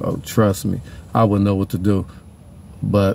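A man with an American accent talks at a fairly quick pace in a very deep, low pitch with a dark, mellow tone. The sound is dry with no echo, and there is light background noise. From Pasadena, California. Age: 40s. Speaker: YouTuber and musician. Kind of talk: casual sports monologue. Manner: animated. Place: car. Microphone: phone near.

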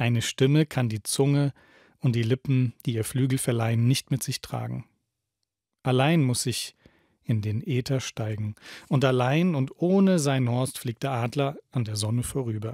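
Over a quiet background, a man speaks at a fairly slow pace in a solemn tone with ordinary pitch variation and a dry sound with no echo. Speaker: radio host reading a book aloud. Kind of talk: dramatic literary reading aloud, solemn poetic narration of a prophet's speech. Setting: radio studio broadcast. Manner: slow, solemn, expressive, emphatic delivery with pauses. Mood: calm, solemn, poetic delivery. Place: studio. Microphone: studio mic.

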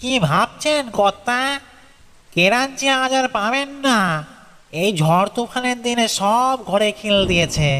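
In a put-on character voice, a man talks fairly slowly at an extremely high pitch. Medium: read story. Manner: deferential, coaxing.

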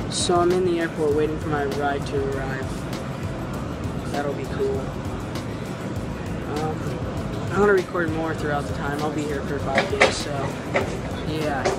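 A man speaking fairly slowly, with long, frequent pauses and music in the background. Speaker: vlogger. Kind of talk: casual vlog chat. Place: station. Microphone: phone near.

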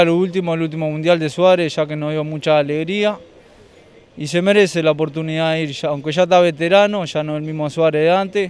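A man with a Uruguayan accent speaks at a fairly quick pace and a fairly high pitch. His intonation is fairly even, and the sound is dry with no echo. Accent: Rioplatense Spanish (Uruguay). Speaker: hot dog street vendor. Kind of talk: street interview. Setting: outdoors, street. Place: street. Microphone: handheld.

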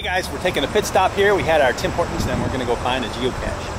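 A man talks at a very fast pace, the sound dry with no echo. Loud background noise runs throughout. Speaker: vlogger. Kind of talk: casual vlog chat. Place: forest. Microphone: phone near.

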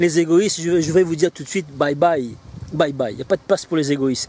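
Over light background noise, a man speaks very fast at a high pitch. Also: dry sound with no echo. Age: 40s. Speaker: business coach selling online training. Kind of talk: sales pitch. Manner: animated. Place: garden.

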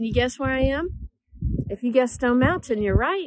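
In a dry sound with no echo and a quiet background, a woman speaks with lively intonation. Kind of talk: casual talk to children. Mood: cheerful, warm. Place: open country. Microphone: phone near.

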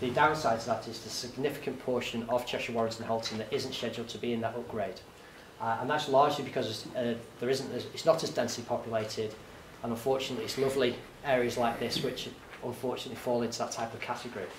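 A man's very fast, fairly even speech, with audible room echo and light background noise. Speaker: public presenter. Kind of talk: presentation talk. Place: meeting room. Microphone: camera far.

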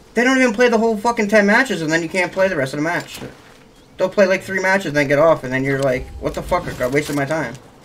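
Over noticeable background noise, a man talks at a very fast pace in a high pitch with lively intonation. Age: 20s. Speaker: gaming content creator. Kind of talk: casual gaming chat. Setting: online voice chat while gaming. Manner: animated.

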